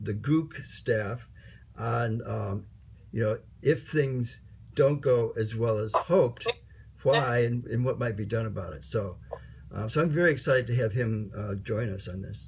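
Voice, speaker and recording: Vocal fry runs through this man's medium-pitched voice. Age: old. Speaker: online course team organizer. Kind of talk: casual meeting chat. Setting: video call. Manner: halting, many fillers.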